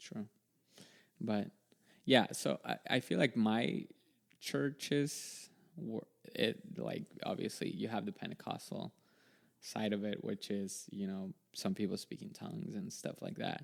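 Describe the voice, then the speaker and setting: The delivery is fairly slow, broken by long, frequent pauses, with vocal fry. Pitch moves in very wide swings. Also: man, medium pitch for a man. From El Salvador. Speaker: IT professional, podcast guest. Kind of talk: casual chat. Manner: halting.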